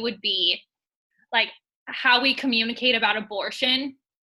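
In an American accent, a woman speaks at a moderate pace in a raised, projected voice with a bright, sharp tone. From California. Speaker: podcast co-host and fitness coordinator. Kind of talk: casual interview chat.

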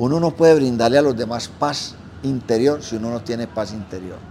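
Noticeable background noise beneath speech with very wide pitch swings. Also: man. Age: 70s. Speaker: restaurant manager. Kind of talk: interview. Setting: restaurant.

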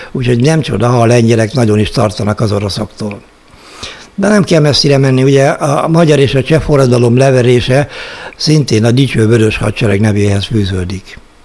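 Medium-pitched man at a moderate pace, lively intonation, noticeable background noise. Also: very even loudness. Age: 60s. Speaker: investment blogger. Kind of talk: solo monologue. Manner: formal.

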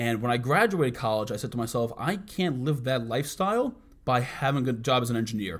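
On a very clean recording with a silent background, a man with a New York accent talks at a medium pitch and a fairly quick pace. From US Northeast, Bronx, New York. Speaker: podcast co-host, entrepreneur. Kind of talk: casual chat. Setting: office.

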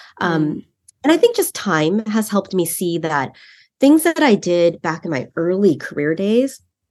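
With a Californian accent, a woman at a medium pitch speaks at a moderate pace, her voice making very wide pitch swings. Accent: Californian American. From San Francisco Bay Area. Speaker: marketing executive. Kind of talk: interview.

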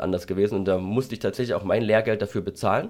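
A man speaks at a very fast pace. His fairly low voice keeps a monotone, flat intonation. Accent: slight Saxon. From Saxony, Germany (Freital near Dresden). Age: 30s. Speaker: pharmacist and entrepreneur. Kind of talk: interview.

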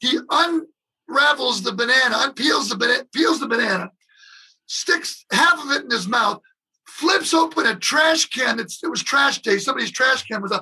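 A man with an American accent speaks at a moderate pace in a raised, projected voice with an extremely high pitch. His tone is bright and sharp, and his intonation is lively. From US Midwest, Detroit. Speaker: drummer. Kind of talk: casual chat.

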